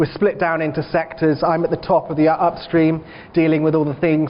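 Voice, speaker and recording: A man talks in a monotone, flat intonation at a moderate pace, his pitch fairly high, with noticeable background noise behind him. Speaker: bank research analyst, keynote speaker. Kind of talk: conference presentation.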